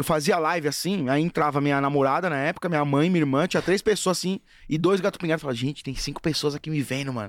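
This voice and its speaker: A man races along at a very fast pace with hardly any pauses, using a fairly high pitch and lively intonation on a very clean recording with a silent background. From Brazil, Guarulhos (São Paulo). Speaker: football fan influencer. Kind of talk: casual chat. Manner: animated.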